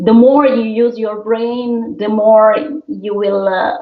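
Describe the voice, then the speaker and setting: A woman speaks very slowly with an Italian accent, her pitch fairly high. Audible room echo surrounds her voice. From Italy. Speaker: opera singer. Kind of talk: interview. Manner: halting.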